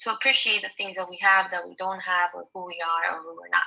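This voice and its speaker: A woman talks with a non-native accent. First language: not English. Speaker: college student. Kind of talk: class presentation. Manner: halting, many fillers and repetitions.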